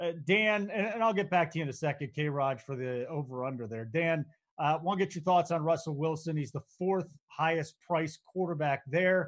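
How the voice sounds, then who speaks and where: A man with a normal speaking voice, fairly high in pitch with ordinary variation, talking with hardly any pauses. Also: moderate pace. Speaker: podcast host. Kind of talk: casual sports betting chat.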